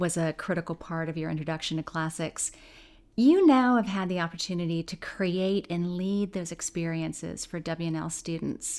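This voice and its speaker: A woman speaks at a moderate pace in a fairly low pitch with ordinary pitch variation, an ordinary speaking voice. The recording is very clean, with a silent background. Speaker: podcast host. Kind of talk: interview.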